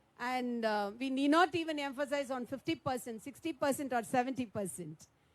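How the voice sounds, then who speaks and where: A woman with a high voice talks at a fairly quick pace, her intonation lively. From Tamil Nadu, India. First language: Tamil. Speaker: politician. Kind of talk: panel speech. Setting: round-table meeting.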